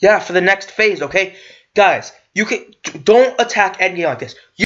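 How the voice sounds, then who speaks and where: Someone is shouting, loud and at a moderate pace, with ordinary pitch variation. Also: man, high pitch for a man. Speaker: YouTube commentator. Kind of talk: rant reacting to an article. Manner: loud, yelling; halting, stumbling while reading. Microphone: has had audio problems.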